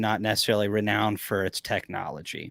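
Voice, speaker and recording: A man with an ordinary speaking voice and medium pitch talks at a fairly quick pace in a very clean recording with a silent background. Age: 30s. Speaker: beekeeping business owner. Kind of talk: casual chat.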